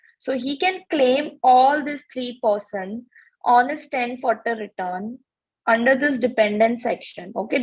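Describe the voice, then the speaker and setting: Here is a woman with an ordinary speaking voice, fairly high in pitch, talking at a fairly slow pace with ordinary pitch variation. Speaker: tax instructor. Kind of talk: lecture.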